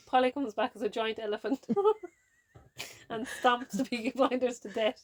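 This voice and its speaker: In a Kerry accent, a woman speaks with a high pitch and monotone, flat intonation at a moderate pace, the sound dry and close with no echo. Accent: Kerry Irish. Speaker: podcast co-host. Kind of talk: casual chat. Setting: camper van.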